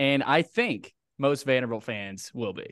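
Over a quiet background, a man talks in a medium pitch. His voice shows ordinary pitch variation. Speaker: podcast host. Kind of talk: radio-style show intro, upbeat sports podcast. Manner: energetic, promotional ad read.

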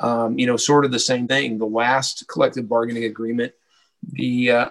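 Talking at a fairly quick pace, a man with an American accent keeps a medium pitch and a monotone, flat intonation. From Houston, Texas. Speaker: former baseball club president. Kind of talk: interview. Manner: halting, many fillers.

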